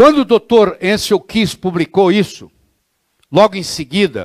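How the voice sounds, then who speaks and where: An animated man talks at a moderate pace, recorded very cleanly against a silent background with a dry, close sound and no echo. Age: 60s. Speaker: physician lecturer. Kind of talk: lecture. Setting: classroom with audience.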